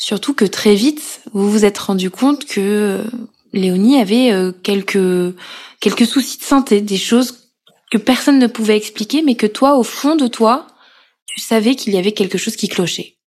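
A woman with a plain, everyday voice speaks fairly slowly at a fairly high pitch with ordinary pitch variation. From Corrèze, France. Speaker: podcast host and journalist. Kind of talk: interview.

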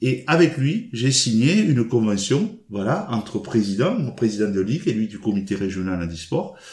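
A man's somewhat breathy, medium-pitched voice with lively intonation at a moderate pace. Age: 60s. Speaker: badminton player and regional sports official. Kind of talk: casual interview.

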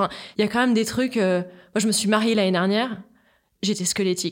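A woman speaks very fast at a medium pitch with fairly even intonation on a very clean recording with a silent background. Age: 30s. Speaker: podcast guest sharing her personal story. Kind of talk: personal testimony in a conversational interview.

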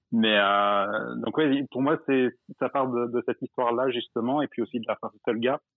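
A man talks with fairly even intonation. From Drôme, France. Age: 20s. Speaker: caller, expatriate. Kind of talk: casual chat.

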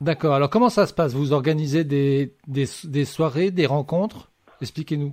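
A man speaks in a normal speaking voice, fairly high in pitch, with ordinary pitch variation. His pace is moderate, and the recording is very clean with a silent background. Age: young. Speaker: radio host. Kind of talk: radio show interview.

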